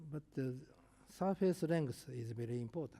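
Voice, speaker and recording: A man speaks in a dark, mellow tone at a medium pitch. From Japan. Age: 70s. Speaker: professor. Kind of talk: lecture. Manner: halting.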